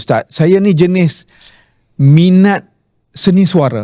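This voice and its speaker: This man has a dark, mellow tone and ordinary pitch variation. His voice sounds dry and close, without echo. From Malaysia, Kelantan roots, raised in Penang. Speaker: Islamic preacher and author. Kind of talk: interview. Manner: conversational, with fillers.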